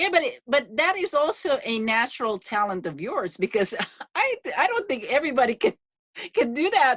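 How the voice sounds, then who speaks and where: Speaking with a Filipino accent, a woman moves at a moderate pace through very wide pitch swings. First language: Tagalog. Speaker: podcast host. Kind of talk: interview.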